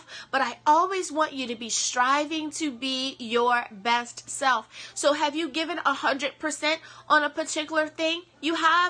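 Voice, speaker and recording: A woman's high, bright, sharp voice, raised and projected, with an animated tone and ordinary pitch variation. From US East Coast. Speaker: motivational speaker. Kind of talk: motivational talk.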